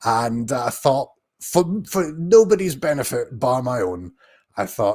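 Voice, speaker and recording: A speaker with a Scottish accent talks at a fairly slow pace with very wide pitch swings. The recording is very clean, with a silent background. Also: man, medium pitch for a man. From Scotland. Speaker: YouTuber, TV commentator. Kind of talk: live watch-along commentary. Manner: hesitant, many fillers.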